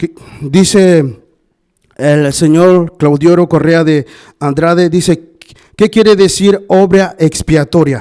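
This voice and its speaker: A man's high-pitched voice with a dark, mellow tone and fairly even intonation. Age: 20s. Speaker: preacher. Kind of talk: sermon. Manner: loud; slow.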